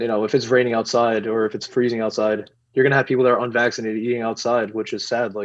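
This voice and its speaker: Speaking very fast with a New York accent, a man keeps a medium pitch and a monotone, flat intonation. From New York City. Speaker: activist, movement founder. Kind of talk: podcast interview. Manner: halting, many fillers.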